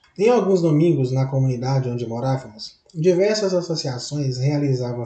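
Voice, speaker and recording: A man keeps a moderate pace while noticeable noise runs in the background. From Minas Gerais, Brazil. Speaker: university student. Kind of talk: reading of own autobiographical text.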